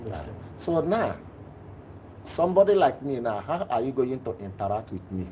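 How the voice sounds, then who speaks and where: At a moderate pace with long, frequent pauses, a man with a medium pitch and a dark, mellow tone speaks somewhat breathily, his pitch swinging very widely. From Nigeria. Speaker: class participant asking a question. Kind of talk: personal question in a live class.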